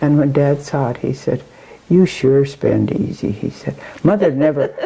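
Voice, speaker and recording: Noticeable background noise sits behind the speech. The pace is moderate and the pitch variation ordinary. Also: woman, very deep, low pitch for a woman. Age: 80s+. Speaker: centenarian mother, former dairy farmer. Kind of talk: interview storytelling. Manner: halting.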